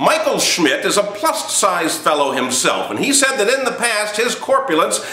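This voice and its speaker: A raised, projected voice at a moderate pace, upbeat in tone, over noticeable background noise. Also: man. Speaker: comedian, speaker and emcee. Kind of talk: comedic news monologue to camera. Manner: upbeat, jokey delivery.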